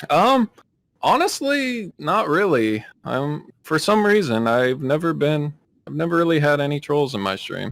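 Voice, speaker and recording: Very wide pitch swings at a fairly slow pace. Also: man, fairly high pitch for a man. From US, moved around a lot. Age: 20s. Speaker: streamer and military service member. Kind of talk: casual interview. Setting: live stream.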